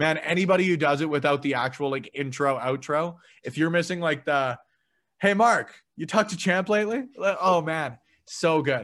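A man speaks with a Canadian accent in a normal speaking voice, his pitch fairly high and its variation ordinary. The pace is moderate, and the recording is very clean with a silent background. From Canada, Edmonton. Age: 20s. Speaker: podcaster. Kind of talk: casual chat.

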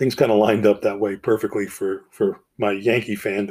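A man with an American accent in an ordinary speaking voice, fairly quick pace and ordinary pitch variation, in a very clean recording with a silent background. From New Jersey, US. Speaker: podcast host. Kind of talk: personal monologue.

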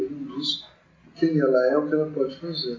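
A man's voice carries audible room echo. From Brazil, São Paulo state (Mogi das Cruzes). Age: 50s. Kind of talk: interview. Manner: hesitant, many fillers.

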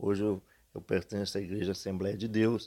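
A man's voice comes through a very clean recording against a silent background. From Minas Gerais, Brazil. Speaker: local poet. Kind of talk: interview. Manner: halting.

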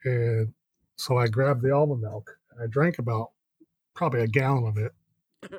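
At a moderate pace, a man with a medium pitch and a somewhat breathy voice speaks with ordinary pitch variation and long, frequent pauses, the sound dry and close with no echo. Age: 30s. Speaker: podcast co-host. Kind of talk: casual chat.

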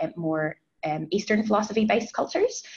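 Fairly even intonation marks this woman's speech at a fairly quick pace. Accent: New Zealand. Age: 30s. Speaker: HR advisor. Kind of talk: interview.

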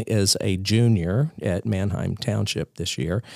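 A man with an American accent speaks with ordinary pitch variation in a very clean recording with a silent background. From US South, Columbia, South Carolina. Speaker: pastor. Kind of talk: casual chat. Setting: office.

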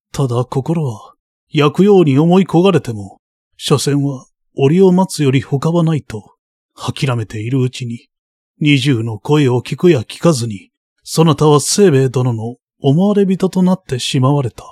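A man's somewhat breathy voice carries a dramatic, warm tone and lively intonation at a fairly slow pace, with a dry, close sound and no echo. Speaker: audiobook narrator. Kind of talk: audiobook narration of a literary novel, read aloud. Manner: measured, steady storytelling pace; dramatic, shifting from warm tenderness to icy tension in the tense scene.

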